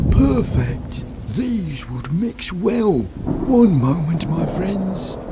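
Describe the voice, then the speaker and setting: Through loud background noise, a cartoonish character voice at middle pitch speaks at a very slow pace. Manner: gentle, measured.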